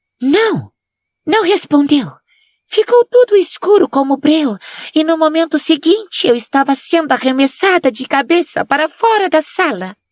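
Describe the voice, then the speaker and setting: Putting on a character voice, a woman speaks at a moderate pace in an extremely high, shrill tone with very wide pitch swings. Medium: read story. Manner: mystical, affected, defensive.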